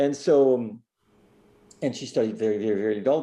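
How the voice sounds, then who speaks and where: Over a quiet background, a man with a strong French accent speaks in a dark, mellow tone. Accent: thick French. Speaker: concert pianist and piano teacher. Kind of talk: casual interview conversation.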